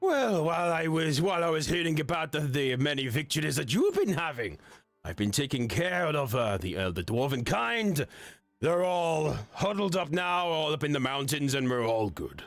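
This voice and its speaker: Putting on a character voice, a man speaks at a moderate pace in a fairly high pitch. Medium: actual play. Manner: hearty, boisterous.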